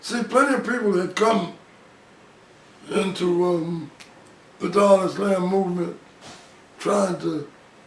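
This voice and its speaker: A man with an American accent talks in a high voice at a fairly slow pace, with ordinary pitch variation and long, frequent pauses. Noticeable background noise is audible. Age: 80s+. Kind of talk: interview answer. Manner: casual, conversational.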